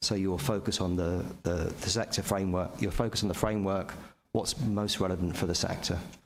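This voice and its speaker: A man speaks at a fairly quick pace. His pitch is very deep and low. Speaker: pension fund investment executive. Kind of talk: board meeting presentation. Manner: fast; halting, repetitive fillers.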